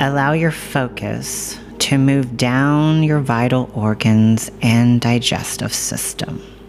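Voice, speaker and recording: A woman's very deep, low voice in a calm, gentle tone, at a very slow pace with hardly any pauses and ordinary pitch variation, over background music. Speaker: podcast host and meditation guide. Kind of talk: guided meditation. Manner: calm, gentle, slow.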